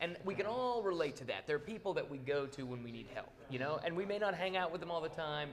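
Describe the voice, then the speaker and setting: A man with lively intonation. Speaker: film actor. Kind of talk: interview. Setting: studio. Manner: fast.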